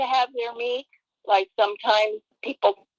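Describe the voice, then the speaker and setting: A woman's fairly high voice, dry and close with no echo. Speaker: health expert guest. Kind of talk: live stream interview. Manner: halting.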